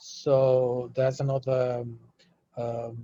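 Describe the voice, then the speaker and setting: Somewhat breathy and at a medium pitch, a man speaks in a Spanish accent with a dry, close sound and no echo. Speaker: UNESCO delegate / panelist. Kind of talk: webinar panel discussion. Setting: video call. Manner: halting, many fillers.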